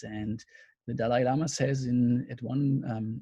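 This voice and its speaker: The voice is somewhat breathy and dark, mellow in tone, with a German accent. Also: man. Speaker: counselling lecturer. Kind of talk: webinar lecture. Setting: video call. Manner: halting.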